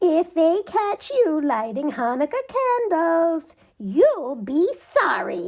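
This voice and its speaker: A woman's put-on character voice, squeaky and extremely high-pitched, with very wide pitch swings at a very slow pace. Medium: read story.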